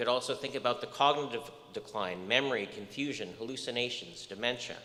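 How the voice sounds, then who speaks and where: Audible room echo is present in the recording. This man talks at a moderate pace. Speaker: research scientist lecturer. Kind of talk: lecture.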